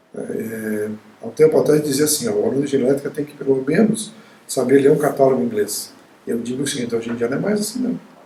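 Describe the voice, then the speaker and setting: At a fairly quick pace, a man speaks with lively intonation and a fairly high pitch. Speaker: university professor. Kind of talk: interview. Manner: halting, with frequent repetitions.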